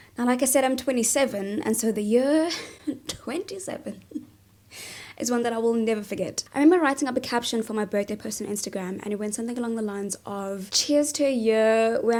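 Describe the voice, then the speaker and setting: On a very clean recording with a silent background, a woman with a dark, mellow tone talks at a fairly quick pace, her fairly high pitch showing ordinary variation. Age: 20s. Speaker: vlogger. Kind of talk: casual vlog talk. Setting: sitting in a bathtub. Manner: animated.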